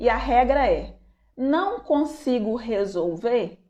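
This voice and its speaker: High pitch and lively intonation in a woman's speech. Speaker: psychologist or anxiety coach giving a live talk. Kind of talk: live-stream talk to viewers. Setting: online live stream.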